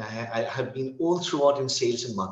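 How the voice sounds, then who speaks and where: With an American accent, a man speaks at a fairly high pitch with lively intonation. Audible room echo surrounds his voice. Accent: between British and American, somewhat Indian. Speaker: English tutor. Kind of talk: casual interview conversation.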